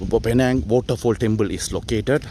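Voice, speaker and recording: Music plays in the background. A man speaks over it at a moderate pace. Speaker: travel vlogger. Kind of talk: walking travel vlog narration. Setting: outdoors at hillside temple. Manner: halting, many fillers and restarts.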